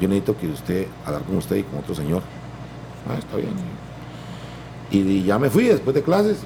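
Fairly low male voice at a moderate pace, with very wide pitch swings and long, frequent pauses. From Costa Rica, Guanacaste (Santa Cruz). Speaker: singer-songwriter and music producer. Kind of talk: interview.

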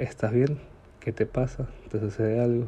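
Somewhat breathy, a man with a medium pitch and a dark, mellow tone speaks at a moderate pace. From Ecuador, Guayaquil. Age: 20s. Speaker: podcaster. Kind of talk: personal monologue. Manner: halting.

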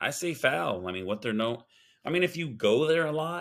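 A man talks at a moderate pace in a normal speaking voice, with lively intonation. The recording is very clean, with a silent background. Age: 50s. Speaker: sports podcast host. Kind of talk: casual chat.

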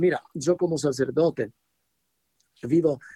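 A man with an Italian accent, ordinary pitch variation, and a dry, close sound with no echo. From Italy. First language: Italian (speaking Spanish). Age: 70s. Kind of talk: radio interview teaching. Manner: hesitant, searching for words.

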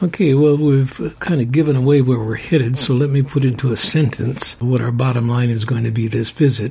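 A man of medium pitch talks at a fairly quick pace with hardly any pauses and fairly even intonation. Background noise is noticeable. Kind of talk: religious discussion podcast. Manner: calm.

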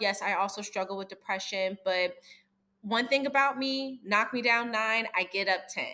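Bright, sharp tone from a woman at a fairly high pitch, moderate pace and ordinary pitch variation, in a very clean recording with a silent background. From US East Coast. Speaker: esthetician. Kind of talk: casual chat. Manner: direct.

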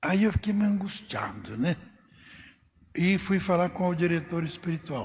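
A high-pitched man at a moderate pace. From Brazil, São Paulo state interior. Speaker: priest. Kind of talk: casual interview, life story.

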